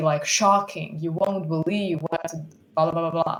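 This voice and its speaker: Monotone, flat intonation in a Bosnian accent. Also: woman. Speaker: student. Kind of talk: conference presentation. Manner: halting, many repetitions.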